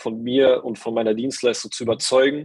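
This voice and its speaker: A man's ordinary speaking voice at medium pitch, fairly quick in pace and fairly even in intonation. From Saarland, Germany (Saarbrücken). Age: 20s. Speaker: performance marketer, coaching participant. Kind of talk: interview, casual chat.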